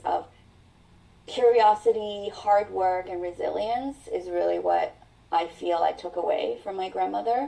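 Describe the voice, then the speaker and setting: The speaker has a Mandarin accent. The pace is very slow. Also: woman. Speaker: mental health coach. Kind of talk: interview.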